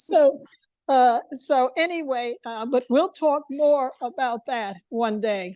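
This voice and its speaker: Speaking very slowly with an American accent, a woman has a high pitch, a dark, mellow tone, and ordinary pitch variation. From New York. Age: 70s. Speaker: lecture attendee. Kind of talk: casual chat. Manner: halting.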